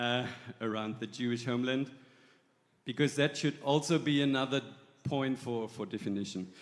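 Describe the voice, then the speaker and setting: Speaking with a German accent, a man keeps a moderate pace with long, frequent pauses. His pitch varies in an ordinary way. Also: medium pitch for a man. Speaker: church delegate. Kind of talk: assembly floor speech.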